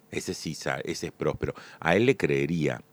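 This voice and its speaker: A man's voice comes through dry and close with no echo, in a very clean recording with a silent background. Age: 60s. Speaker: magician and comedian. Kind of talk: solo monologue podcast.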